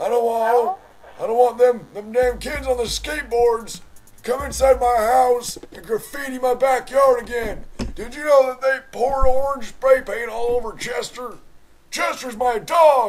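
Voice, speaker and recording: Delivered at a fairly slow pace, this put-on character voice moves through big swings in loudness. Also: man. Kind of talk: comic overacting prank call. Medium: solo performance. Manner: rambling, indignant, polite but absurd.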